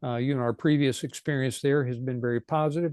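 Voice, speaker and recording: A man at medium pitch speaks with fairly even intonation and a dark, mellow tone, the sound dry and close with no echo over a quiet background. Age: 70s. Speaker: ministry director. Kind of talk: casual chat.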